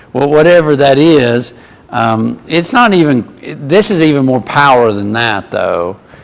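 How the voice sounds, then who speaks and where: Over noticeable background noise, a man with an American accent speaks fairly slowly at a fairly high pitch with lively intonation. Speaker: Bible class teacher. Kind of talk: Bible class lecture. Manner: conversational with many fillers.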